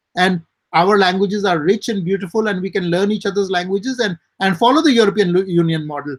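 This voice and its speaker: With an Indian accent, a man talks at a very fast pace in a high pitch with ordinary pitch variation. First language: Hindi. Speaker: writer and publisher. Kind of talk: interview.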